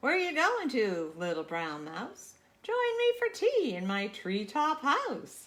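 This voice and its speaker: Raising and projecting her voice, a woman performs a put-on character voice at a high pitch and a fairly slow pace. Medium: read story.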